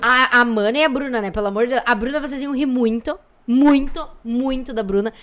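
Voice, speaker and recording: Her pitch high and its variation ordinary, a woman speaks at a fairly quick pace. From Santa Rosa, Rio Grande do Sul, Brazil. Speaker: businesswoman and influencer. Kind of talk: casual chat.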